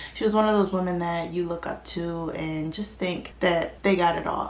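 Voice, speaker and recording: Soft-spoken and fairly low in pitch, a woman talks at a moderate pace with fairly even intonation, amid noticeable background noise and audible room echo. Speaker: true crime YouTuber. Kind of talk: casual narration. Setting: quiet borrowed room.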